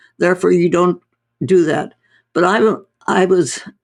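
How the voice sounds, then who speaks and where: A woman is speaking. Her voice carries vocal fry. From North India. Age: 80s+. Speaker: doctor. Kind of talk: interview conversation.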